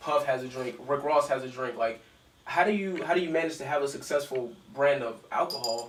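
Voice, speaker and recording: Against noticeable background noise and audible room echo, a man speaks fairly high and fairly quickly with ordinary pitch variation. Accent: American. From US South. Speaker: interview show host. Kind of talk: interview.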